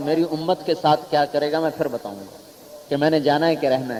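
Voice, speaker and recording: A man with a fairly high-pitched voice talks amid noticeable background noise. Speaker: Islamic religious scholar. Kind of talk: religious sermon.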